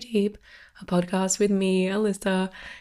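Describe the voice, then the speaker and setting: A woman with an Australian accent, medium pitch, a dark, mellow tone, and a moderate pace. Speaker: podcast host. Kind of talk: solo podcast monologue. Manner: casual, filler-heavy.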